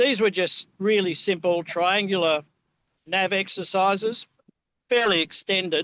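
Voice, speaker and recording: A man speaks at a high pitch in a raised, projected voice with a bright, sharp tone. His pace is fairly slow, his loudness very even and his intonation fairly even, in a dry, close sound with no echo. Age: 70s. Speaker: pilot and aircraft searcher. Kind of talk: casual chat.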